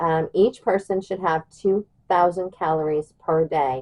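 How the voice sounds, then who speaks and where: Recorded with a dry, close sound and no echo, a woman speaks in a fairly low voice with an American accent. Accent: Southern US, stronger than usual today. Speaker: prepper channel host. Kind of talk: tutorial. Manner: casual, babbling with fillers.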